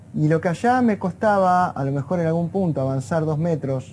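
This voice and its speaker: Against a quiet background, a man with an Argentine accent talks at a moderate pace in a fairly high pitch, with ordinary pitch variation. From Argentina. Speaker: neurophysiologist. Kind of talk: interview. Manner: conversational, informal.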